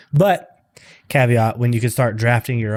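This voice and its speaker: A man at a fairly quick pace on a very clean recording with a silent background. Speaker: fantasy football podcast host. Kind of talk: casual chat. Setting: home loft. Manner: monotone; soft-spoken, quiet.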